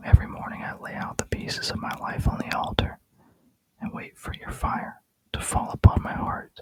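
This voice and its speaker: Whispering at a moderate pace, a man lets his loudness swing widely. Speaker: Bible reader. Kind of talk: ASMR scripture reading. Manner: whispered.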